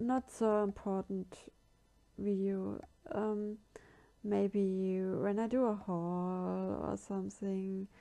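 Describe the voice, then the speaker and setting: With a German accent, a woman speaks very slowly in a dark, mellow tone at medium pitch, her intonation fairly even. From Germany. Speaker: craft tutorial youtuber. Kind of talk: tutorial. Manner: halting.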